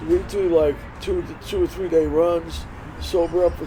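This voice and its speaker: Noticeable background noise fills the recording. The speaking pace is moderate. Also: man. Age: 70s. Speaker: surfer and surf shop owner. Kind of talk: podcast interview, casual chat.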